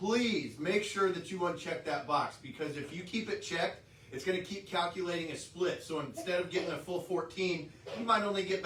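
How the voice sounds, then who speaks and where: A man speaks loudly at a high pitch and moderate pace, with ordinary pitch variation. Room echo is audible, and background noise is noticeable. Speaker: trucking company safety staff. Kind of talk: workplace safety briefing.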